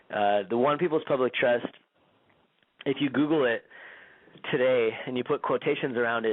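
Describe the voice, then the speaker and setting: In a medium pitch, a man speaks at a fairly quick pace. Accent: Californian. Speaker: radio show host and activist. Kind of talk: radio interview.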